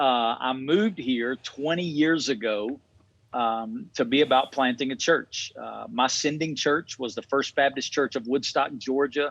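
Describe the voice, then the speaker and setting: A fairly high-pitched male voice with a Southern US accent, ordinary pitch variation and a fairly slow pace, over a quiet background. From Alabama. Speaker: pastor. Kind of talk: interview.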